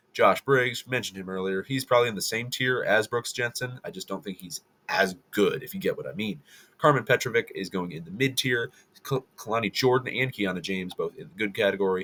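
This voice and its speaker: A man talks at a fairly quick pace with a bright, sharp tone. The sound is dry and close, with no echo. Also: big swings in loudness. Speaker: wrestling commentator YouTuber. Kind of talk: casual commentary ranking video. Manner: fast.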